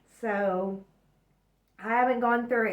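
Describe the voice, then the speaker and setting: This woman has a fairly high pitch, a moderate pace and ordinary pitch variation in an unremarkable speaking voice. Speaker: astrology and tarot reader. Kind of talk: weekly astrology forecast monologue.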